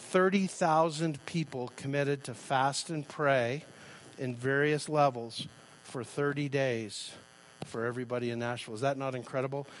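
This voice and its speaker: A man with an American accent speaks at a fairly slow pace with fairly high pitch and fairly even intonation. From Canada, Calgary. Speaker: pastor. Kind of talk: sermon. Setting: church.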